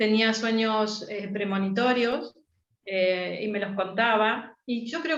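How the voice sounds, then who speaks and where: A woman speaks at a fairly high pitch with ordinary pitch variation. Audible echo fills the room. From Argentina. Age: 60s. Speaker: astrologer. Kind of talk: interview.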